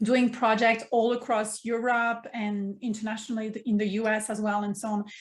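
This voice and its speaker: Somewhat breathy and fairly high-pitched, a woman talks with a French accent in a monotone, flat way at a moderate pace. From France, Provence. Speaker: mindfulness coach. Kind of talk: casual interview.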